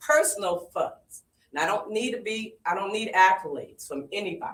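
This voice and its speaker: With an American accent, a woman talks in a normal speaking voice at medium pitch with lively intonation. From Springfield, Massachusetts. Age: 60s. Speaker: community activist. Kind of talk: public comment at community forum.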